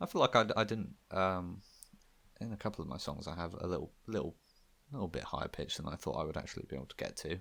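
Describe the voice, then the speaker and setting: A man's very deep, low voice with vocal fry and ordinary pitch variation at a very fast pace, in a very clean recording with a silent background. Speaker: podcast co-host and amateur musician. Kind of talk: casual chat. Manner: halting, many fillers.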